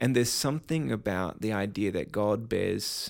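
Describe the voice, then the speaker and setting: In an Australian accent with vocal fry, the voice comes through on a very clean recording with a silent background. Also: man. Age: 30s. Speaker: pastor and speaker. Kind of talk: interview.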